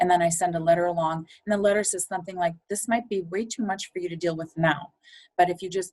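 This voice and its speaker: Her medium-pitched voice is somewhat breathy as this woman talks at a fairly quick pace with ordinary pitch variation. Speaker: funeral home aftercare coordinator. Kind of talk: podcast interview. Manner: fast.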